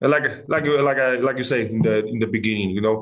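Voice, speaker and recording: A man talks in an ordinary speaking voice at a medium pitch. His pace is fairly quick and his intonation fairly even. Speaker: MMA fighter. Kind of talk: casual interview.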